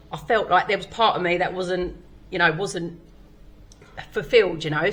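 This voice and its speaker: A woman speaks in a bright, sharp tone with ordinary pitch variation. Audible room echo hangs around her voice. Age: 40s. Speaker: stand-up comedian. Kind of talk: casual chat. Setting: comedy club stage.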